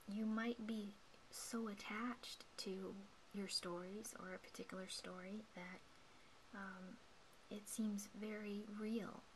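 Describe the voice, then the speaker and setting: A soft-spoken woman is whispering at a very slow pace with long, frequent pauses over noticeable background noise. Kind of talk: guided meditation talk. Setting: indoors at night, home recording. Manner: whispered, soft-spoken.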